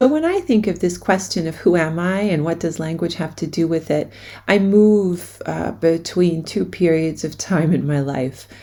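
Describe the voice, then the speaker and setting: A woman speaks at a moderate pace with a fairly low pitch, ordinary pitch variation, and a dark, mellow tone. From US, New York City. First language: German. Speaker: education researcher. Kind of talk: recorded academic presentation.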